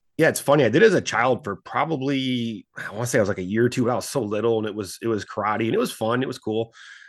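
An American man with a medium-pitched voice and an animated tone talks at a very fast pace with ordinary pitch variation and hardly any pauses over a quiet background. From US Midwest. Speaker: financial advisor, former stockbroker. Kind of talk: interview.

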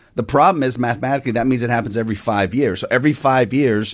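A man has an unremarkable speaking voice at a medium pitch with ordinary pitch variation. The recording is very clean, with a silent background. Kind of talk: infomercial-style sales pitch. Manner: earnest, urgent, persuasive.

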